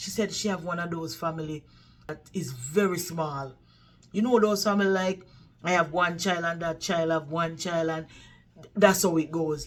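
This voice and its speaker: A woman with a Jamaican accent speaks in an animated tone at a moderate pace, with a fairly low pitch and ordinary pitch variation. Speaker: vlogger, care worker. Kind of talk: casual storytelling vlog.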